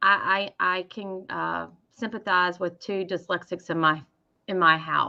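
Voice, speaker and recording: Speaking in a strong Southern US accent, a woman keeps a monotone, flat intonation at a fairly slow pace. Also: medium pitch for a woman. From US South, Mississippi. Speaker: sewing educator. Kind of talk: casual chat.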